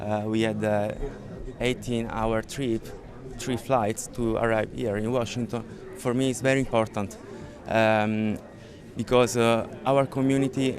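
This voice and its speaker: A man speaks at medium pitch and a fairly slow pace in a flat monotone, with long, frequent pauses. There is noticeable background noise. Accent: Italian. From Italy, Sicily. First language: Italian. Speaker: crash victim's family member. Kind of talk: public statement. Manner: halting.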